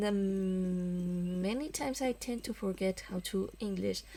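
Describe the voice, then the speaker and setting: This woman has a non-native accent and a medium pitch. She talks at a fairly slow pace with fairly even intonation. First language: not English. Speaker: let's play gamer. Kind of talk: gameplay commentary with reading dialogue aloud. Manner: hesitant, many fillers.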